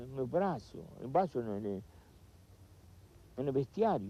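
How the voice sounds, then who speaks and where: A man's dark, mellow tone carries very wide pitch swings. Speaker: former football coach. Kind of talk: interview answer.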